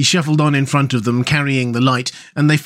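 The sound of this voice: The intonation remains fairly even in an unforced reading voice.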